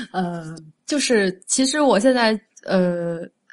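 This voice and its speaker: A woman's medium-pitched, normal speaking voice with lively intonation over a quiet background. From Guangdong, southern China. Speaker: food writer and author. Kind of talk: casual interview chat.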